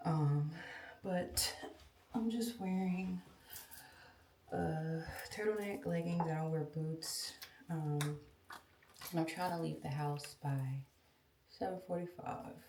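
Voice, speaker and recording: Against noticeable background noise and audible room echo, a woman with a very deep, low voice speaks at a very slow pace, with ordinary pitch variation and long, frequent pauses. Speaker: lifestyle vlogger. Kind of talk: casual vlog talk. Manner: hesitant, many ums.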